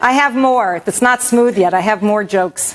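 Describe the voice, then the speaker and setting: Loud and high-pitched, a woman with an American accent speaks at a fairly slow pace against noticeable background noise. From New York. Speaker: vegan cooking instructor. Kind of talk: cooking demo.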